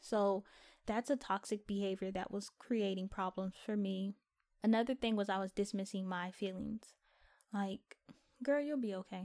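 A woman's normal speaking voice at medium pitch, with a moderate pace and fairly even intonation. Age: 20s. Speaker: podcast host. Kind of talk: personal monologue. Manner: casual.

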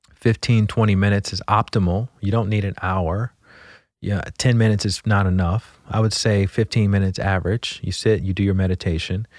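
A man speaks in a normal speaking voice at a fairly low pitch and a fairly quick pace. His intonation is fairly even, and the recording is very clean with a silent background. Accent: American. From US South, Montgomery, Alabama. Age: 40s. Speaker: meditation teacher. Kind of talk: interview conversation.

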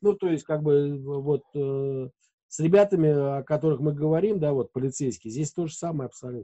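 Fairly high male voice, dark and mellow in tone, with ordinary pitch variation at a moderate pace, and a dry, close sound with no echo. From Moscow region, Russia. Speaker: radio host and editor. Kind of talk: casual interview chat.

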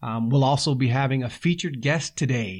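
With a warm tone and a medium pitch, a man speaks at a moderate pace using ordinary pitch variation. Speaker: podcast host and sports coach. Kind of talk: pep talk, motivational coaching speech on discipline and preparing to compete. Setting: studio podcast. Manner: earnest, driving, emphatic, rhythmic repetition in building phrases; warm, conversational, with filler words.

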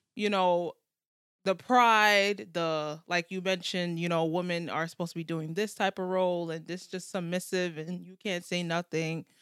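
A woman with a fairly low pitch speaks in a normal speaking voice with an American accent, at a moderate pace. Her intonation is fairly even, her loudness swings widely, and the recording is very clean with a silent background. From United States. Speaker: podcast co-host. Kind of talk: casual chat.

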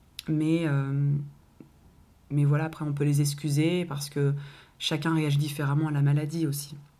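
In a room with audible echo, a woman speaks in a very deep, low pitch with a dark, mellow tone, flat monotone intonation and long, frequent pauses. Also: moderate pace. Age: 20s. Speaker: parenting podcast co-host, young mother. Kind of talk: casual chat.

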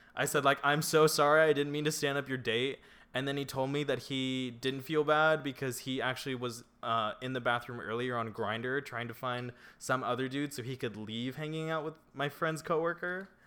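His intonation fairly even, a man uses a normal speaking voice with medium pitch, keeping to a moderate pace. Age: 20s. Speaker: podcast co-host. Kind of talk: casual chat. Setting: apartment.

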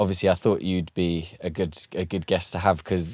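A man with a southern English accent, fairly even intonation, and a moderate pace, in a very clean recording with a silent background. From southern England. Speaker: music producer and podcast host. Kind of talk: casual chat. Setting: home studio.

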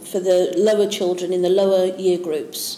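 With a Yorkshire accent, a woman at a medium pitch talks at a moderate pace over noticeable background noise. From Yorkshire, northern England. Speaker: maths teacher and education consultant. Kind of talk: interview.

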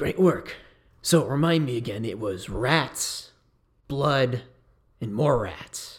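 A put-on character voice from a man, raspy and medium in pitch, with lively intonation, a very slow pace and long, frequent pauses. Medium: actual play. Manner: casual, slangy.

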